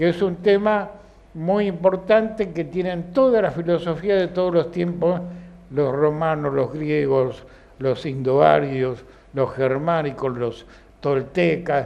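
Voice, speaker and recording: A man with a high pitch at a very slow pace. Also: ordinary pitch variation. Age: 80s+. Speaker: philosophy school director and teacher. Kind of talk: film commentary talk to an audience. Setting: film club session with audience.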